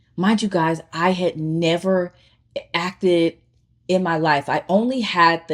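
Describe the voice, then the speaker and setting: This woman has an American accent and a fairly low pitch. She speaks at a fairly slow pace with ordinary pitch variation. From Chicago, south side. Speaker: vlogger, aspiring actor and filmmaker. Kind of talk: personal storytelling vlog. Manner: animated, conversational.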